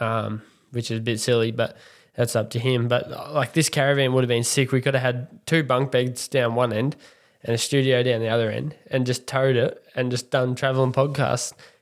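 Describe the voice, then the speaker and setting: A man in a strong Australian accent, fairly quick and monotone with flat intonation, on a very clean recording with a silent background. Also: medium pitch for a man. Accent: broad Australian. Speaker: podcast co-host. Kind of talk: casual chat.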